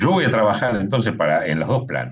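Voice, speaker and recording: Lively intonation runs through this man's speech. He moves along fairly quickly. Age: 60s. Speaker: electoral official. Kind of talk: panel talk.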